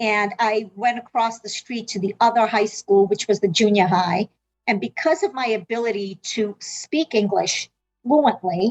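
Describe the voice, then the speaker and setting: A woman's voice sits fairly high in pitch. Music can be heard behind her. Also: ordinary pitch variation, moderate pace, dry, close sound with no echo. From South Africa, then Massachusetts from age 12. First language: Portuguese. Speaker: medical interpreter and healthcare consultant. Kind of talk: interview answers.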